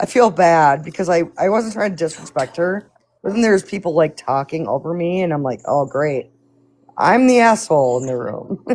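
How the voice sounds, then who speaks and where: A woman with a Midwestern accent speaks at a moderate pace in a fairly low voice. Her intonation is lively. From US Midwest. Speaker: live stream participant. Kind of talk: casual chat.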